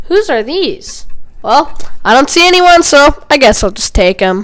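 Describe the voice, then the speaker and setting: A cartoonish character voice at high pitch moves at a moderate pace. Its pitch swings very widely. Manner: casual, drawling.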